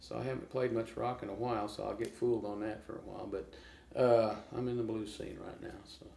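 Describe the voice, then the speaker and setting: A man talks at a very fast pace with an American accent. His intonation is fairly even, his loudness swings widely, and the room echo is audible. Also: medium pitch for a man. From Oklahoma, US. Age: 60s. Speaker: blues guitarist. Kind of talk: casual interview.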